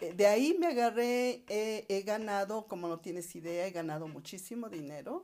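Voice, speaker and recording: A woman with a dark, mellow tone talks at a fairly slow pace with ordinary pitch variation. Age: 60s. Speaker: multi-level marketing entrepreneur. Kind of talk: interview.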